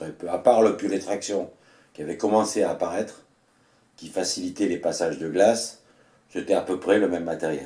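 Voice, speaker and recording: A man speaks with a dark, mellow tone and ordinary pitch variation. His loudness swings widely, broken by long, frequent pauses. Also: fairly low pitch for a man, moderate pace. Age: 60s. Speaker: retired mountain guide. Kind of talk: personal storytelling. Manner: hesitant with fillers.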